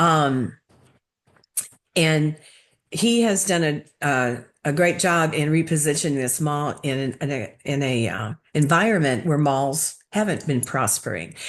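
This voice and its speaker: A woman with a very deep, low voice speaks loudly at a fairly slow pace. Her intonation is lively, broken by long, frequent pauses. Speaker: presenter to city board. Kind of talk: presentation. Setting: video call.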